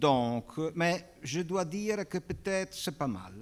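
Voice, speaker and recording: A man with a Belgian accent, very slow pace and lively intonation, on a very clean recording with a silent background. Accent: Belgian-tinged French. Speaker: panel moderator, film restoration expert. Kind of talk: panel introduction. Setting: auditorium with audience. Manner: halting, many hesitations.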